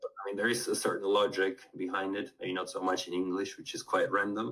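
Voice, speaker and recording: The man speaks very fast. Noticeable background noise lies under his words. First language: Spanish. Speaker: polyglot language tutor. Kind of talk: interview conversation.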